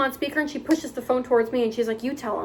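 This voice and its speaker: A woman talks in a high pitch with ordinary pitch variation. Noticeable background noise runs underneath. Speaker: retail worker and vlogger. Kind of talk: storytime vlog. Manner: fast; occasional stumbles over words.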